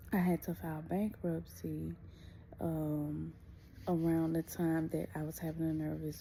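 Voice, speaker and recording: A woman is whispering quietly. She goes at a fairly slow pace. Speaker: vlogger. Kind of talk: casual personal vlog. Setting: at home. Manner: quiet, near whisper.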